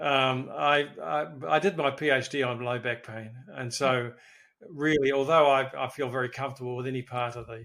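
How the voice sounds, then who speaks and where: A bright, sharp tone in a New Zealand accent, with fairly even intonation at a moderate pace on a very clean recording with a silent background. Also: man. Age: 70s. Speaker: physiotherapist. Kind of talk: interview. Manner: halting.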